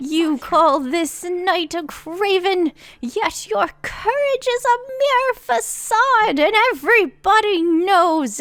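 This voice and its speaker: A put-on character voice, extremely high in pitch, at a very slow pace. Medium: actual play. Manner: formal, speaks of himself in third person.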